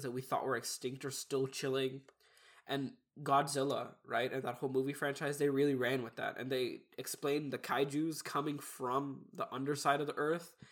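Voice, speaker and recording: A man talks at a moderate pace in a fairly high pitch. His intonation is monotone and flat. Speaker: podcast co-host. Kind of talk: casual chat.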